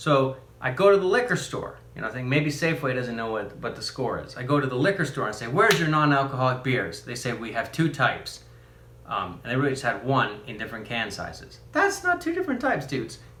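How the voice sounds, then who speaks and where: Animated and fast, a man with a medium pitch uses lively intonation at a very fast pace amid audible room echo. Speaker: youtuber reviewing beers. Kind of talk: casual product review vlog.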